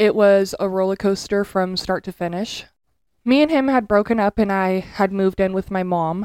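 Her tone animated, a woman talks at a moderate pace and a medium pitch, with a dry, close sound with no echo and a very clean recording against a silent background. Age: 20s. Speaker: podcast co-host. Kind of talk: casual chat. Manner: animated, frequent laughter.

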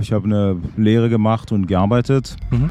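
With a dark, mellow tone, a man speaks fairly slowly in a fairly low pitch. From French-speaking Switzerland. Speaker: trombonist in a band. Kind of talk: interview. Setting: in person. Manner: halting, many fillers.

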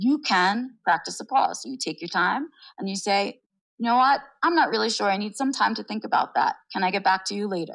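Pitch variation here is ordinary, and the pace is moderate. It is an unremarkable speaking voice. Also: woman. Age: 40s. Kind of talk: interview.

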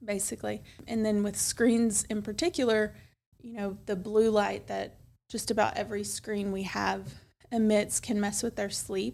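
At a moderate pace, a woman with a Tennessee accent speaks at a medium pitch with ordinary pitch variation. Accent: Southern US (Tennessee). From West Tennessee (Milan). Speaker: pediatrician. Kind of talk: casual interview. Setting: studio.

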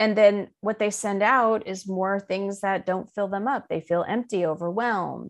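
A woman speaks in a normal speaking voice at medium pitch, with fairly even intonation and a moderate pace. Hardly any pauses break her speech, and the background is quiet. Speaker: life coach and spiritual teacher. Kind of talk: interview.

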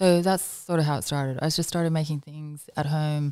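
A woman speaks with a very deep, low pitch and a dark, mellow tone, her intonation monotone and flat. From Northern Ireland, Canada and New Zealand. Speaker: fashion designer. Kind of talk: casual interview.

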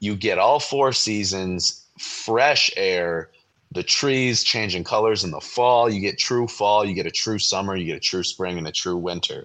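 A man with an American accent uses an ordinary speaking voice, fairly low in pitch, with ordinary pitch variation at a fairly slow pace. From Michigan. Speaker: podcast host. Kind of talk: casual chat.

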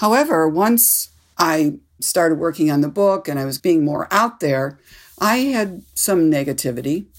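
In a very clean recording with a silent background, a woman with an American accent speaks at a moderate pace and a fairly low pitch, with very wide pitch swings. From US Midwest (Cleveland, Ohio). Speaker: author. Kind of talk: interview. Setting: studio.

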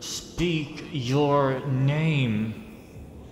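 Using a put-on character voice, a man speaks at a fairly high pitch, with a slight echo and clear background noise. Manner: speaking through gritted teeth.

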